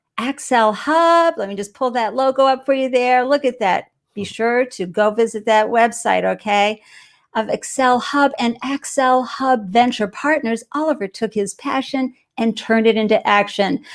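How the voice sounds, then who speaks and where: An animated voice with a Boston accent and ordinary pitch variation comes through in a very clean recording with a silent background. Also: woman. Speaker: live show host. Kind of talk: live interview show.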